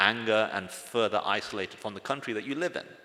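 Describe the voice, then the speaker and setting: Bright and sharp in tone, a man with an English accent and medium pitch talks at a fairly quick pace. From England, British Pakistani family. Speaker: former extremist sharing his story. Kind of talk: testimony.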